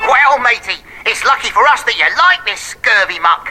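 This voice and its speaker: Using a put-on character voice, a woman speaks at a moderate pace with a high pitch and very wide pitch swings over faint music in the background. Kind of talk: archaic, swashbuckling slang.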